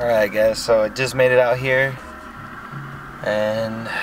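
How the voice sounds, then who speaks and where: A man talks at a very slow pace. There is noticeable background noise, and the sound is dry with no echo. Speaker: fishing vlogger. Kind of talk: casual vlog chat. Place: car. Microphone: phone near.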